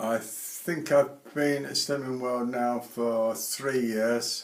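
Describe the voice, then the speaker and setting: A man speaks at a very slow pace with a British accent. His intonation stays fairly even, and there is noticeable background noise. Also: medium pitch for a man. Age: 80s+. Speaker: retired airline pilot. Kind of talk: interview.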